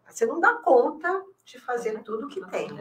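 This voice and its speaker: Projecting her high voice, a woman talks at a fairly slow pace with very wide swings in pitch. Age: 60s. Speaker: elder care specialist. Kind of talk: podcast interview. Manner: hesitant, many fillers.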